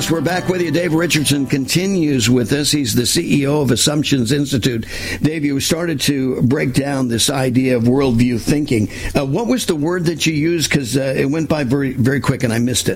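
Fairly quick, fairly high-pitched man's voice with ordinary pitch variation and noticeable background noise. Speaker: talk radio host. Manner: hesitant, filler-heavy.

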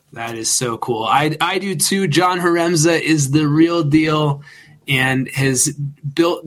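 Here is a man with a plain, everyday voice. It has a fairly high pitch and ordinary pitch variation. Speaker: co-host. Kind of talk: casual interview chat.

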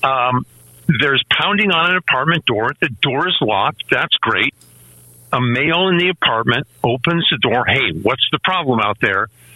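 Speaking in an unremarkable speaking voice, a man uses lively intonation at medium pitch and a moderate pace. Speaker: gun rights writer and podcaster. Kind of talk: radio interview. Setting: remote call-in.

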